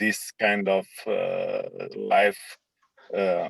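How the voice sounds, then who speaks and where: This man's voice comes through with a dry, close sound and no echo. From Romania. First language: Romanian. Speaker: meeting participant. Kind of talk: group video call discussion. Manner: halting. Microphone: poor audio.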